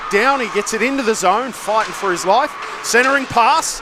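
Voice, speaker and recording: Over noticeable background noise, a raised, projected voice carries lively intonation at a moderate pace. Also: man. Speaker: ice hockey play-by-play commentator. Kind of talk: live commentary. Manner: loud.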